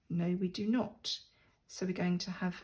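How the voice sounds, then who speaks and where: A woman talks with fairly even intonation. Her tone is dark and mellow, and somewhat breathy. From England. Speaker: crafting YouTuber. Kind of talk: crafting tutorial. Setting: sitting at a desk at home. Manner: casual, chatty with fillers.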